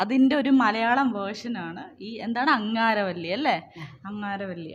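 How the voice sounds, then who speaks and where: A woman speaks with a fairly high pitch and a somewhat breathy sound. Her pitch varies in an ordinary way. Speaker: interviewer. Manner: playful, teasing.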